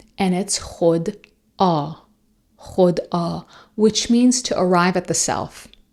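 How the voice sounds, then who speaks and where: With a Persian accent, a woman speaks at a very slow pace. Her pitch varies in an ordinary way. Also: medium pitch for a woman, very clean recording, silent background. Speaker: podcast host and coach. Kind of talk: solo podcast talk.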